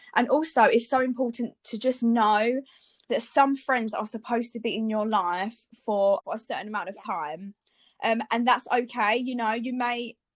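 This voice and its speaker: A woman with an ordinary speaking voice talks at a moderate pace in a fairly high pitch, on a very clean recording with a silent background. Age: 20s. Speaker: podcast co-host, blogger. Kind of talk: casual chat.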